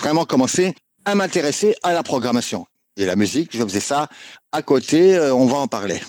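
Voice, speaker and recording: An unremarkable speaking voice from a man, fairly high in pitch and fairly quick in pace, with a dry, close sound and no echo. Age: 50s. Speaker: video game music composer. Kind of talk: interview.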